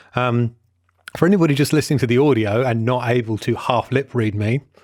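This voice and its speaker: With a Welsh accent, a man speaks at a fairly quick pace. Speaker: film podcast co-host. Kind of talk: casual chat. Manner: mumbling.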